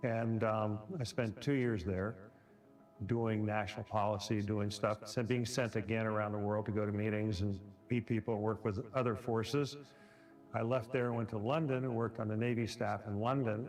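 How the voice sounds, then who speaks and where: Music plays in the background as a man talks at a moderate pace with very even loudness. His pitch is fairly low and his intonation fairly even. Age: 60s. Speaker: retired naval officer, veteran. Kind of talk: testimony.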